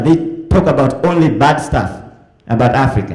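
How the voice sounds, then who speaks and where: Audible room echo is present. The voice keeps a moderate pace. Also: man. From Tanzania. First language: Swahili. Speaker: tourism promoter, diaspora business owner. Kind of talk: convention speech. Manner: halting, with restarts.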